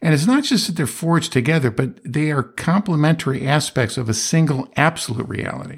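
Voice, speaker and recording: With a Western New York accent, a man talks at a fairly quick pace with lively intonation on a very clean recording with a silent background. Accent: Western New York American. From US, Rochester New York area. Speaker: philosophy podcast host, retired businessman. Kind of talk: solo monologue lecture. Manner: halting, frequent repetitions.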